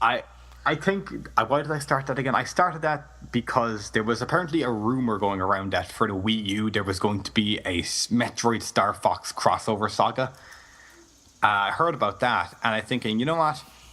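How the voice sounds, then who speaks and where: A man with an Irish accent speaks at a moderate pace and medium pitch. His tone is bright and sharp, and his intonation is lively. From Ireland. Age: young. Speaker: Let's Play gamer. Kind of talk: interview.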